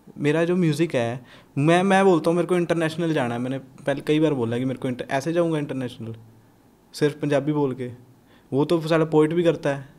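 Fairly even intonation in a man's fairly high voice. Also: moderate pace, very clean recording, silent background. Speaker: rapper. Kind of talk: casual interview chat.

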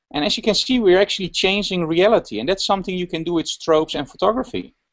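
Against a quiet background, a man with a Dutch accent speaks in a high pitch with lively intonation. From Netherlands. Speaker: fashion photographer; guest. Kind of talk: casual interview. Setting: video call. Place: home room. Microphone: video call.

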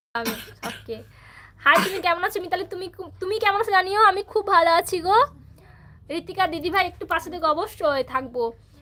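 A woman speaks at an extremely high pitch with lively intonation. Her voice is raised and projected. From West Bengal, Paschim Medinipur. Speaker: YouTuber. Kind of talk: casual livestream chat. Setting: at parents' home.

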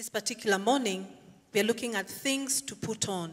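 Ordinary pitch variation from a woman, quiet background behind her. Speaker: preacher. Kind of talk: sermon. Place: church. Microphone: handheld.

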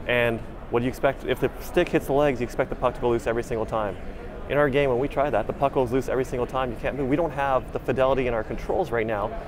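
Over noticeable background noise, a man speaks very fast with fairly even intonation. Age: 40s. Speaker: game producer. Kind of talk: casual chat. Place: hall.

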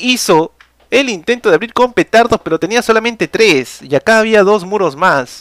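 An animated, high-pitched male voice with lively intonation, a moderate pace, a quiet background and a dry sound without echo. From Peru. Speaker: gaming streamer and tournament caster; gaming streamer. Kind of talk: live game commentary. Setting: live stream.

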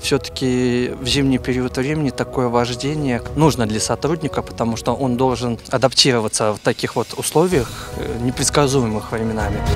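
A man at a moderate pace with ordinary pitch variation, dry sound with no echo, and clear music in the background. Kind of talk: interview answer. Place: open country. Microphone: handheld.

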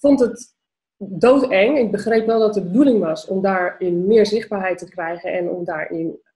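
A woman's somewhat breathy voice with a dark, mellow tone, medium pitch and ordinary pitch variation, at a moderate pace over a quiet background. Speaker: entrepreneur and vlogger. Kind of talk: casual interview. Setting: video call. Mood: warm, animated, laughing. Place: home room. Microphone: webcam.

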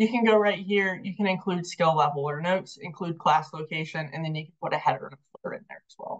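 A somewhat breathy woman talks at a very fast pace with hardly any pauses, lively intonation and big swings in loudness. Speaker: software trainer. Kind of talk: tutorial. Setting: webinar.

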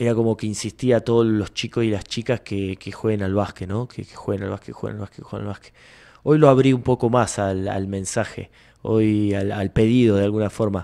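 Against a quiet background, a man speaks in a medium pitch with a dark, mellow tone. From Buenos Aires province, Argentina. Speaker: basketball coach. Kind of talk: interview. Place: studio. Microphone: studio mic.

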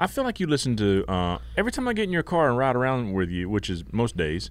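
A man with a Southern US accent talks at a fairly quick pace in a dry sound with no echo. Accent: Southern US (Georgia). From US South, Georgia. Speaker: podcast co-host. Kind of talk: casual chat. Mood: joking, playful. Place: studio. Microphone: studio mic.

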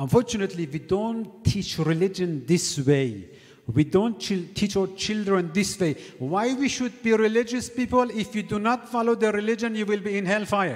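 A man with a high-pitched voice talks at a moderate pace against a quiet background. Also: ordinary pitch variation. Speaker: cleric lecturer. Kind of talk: sermon. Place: church. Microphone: studio mic.

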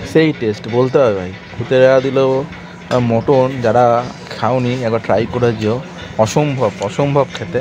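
Noticeable background noise sits behind this man's voice. His pitch variation is ordinary. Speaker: food vlogger. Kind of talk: casual vlog chat. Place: cafe. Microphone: phone near.

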